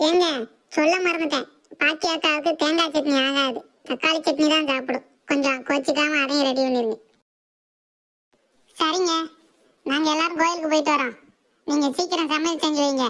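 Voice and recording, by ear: In a cartoonish character voice, a woman speaks at a high pitch and moderate pace with fairly even intonation and very even loudness.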